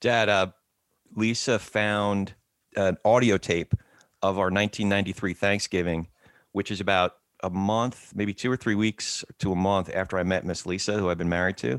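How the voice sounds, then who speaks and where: This man has an ordinary speaking voice, fairly low in pitch, with fairly even intonation. He talks at a moderate pace in a very clean recording with a silent background. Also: dry, close sound with no echo. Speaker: podcast host. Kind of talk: casual interview conversation.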